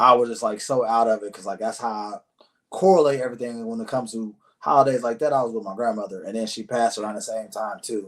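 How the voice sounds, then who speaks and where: A man talks at a very fast pace in a medium pitch. His intonation is fairly even, but his loudness swings a lot. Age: 30s. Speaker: podcast host. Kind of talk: casual interview chat.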